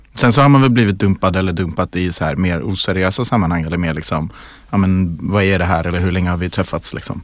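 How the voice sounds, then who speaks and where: Very fast delivery with ordinary pitch variation. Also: man, very deep, low pitch for a man. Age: 30s. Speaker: communications worker and nightclub worker. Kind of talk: casual chat.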